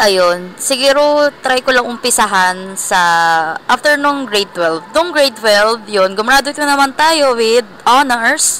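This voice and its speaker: A woman talks at a fairly slow pace in a high pitch, her intonation lively and her loudness very even. Noticeable background noise runs underneath. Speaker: vlogger. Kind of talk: casual vlog. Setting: indoor mall. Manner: soft-spoken.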